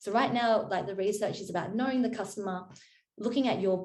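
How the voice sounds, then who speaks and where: A woman speaks with an Australian accent at a medium pitch. Her pace is fairly quick. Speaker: marketing consultant. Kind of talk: workshop presentation. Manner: fast.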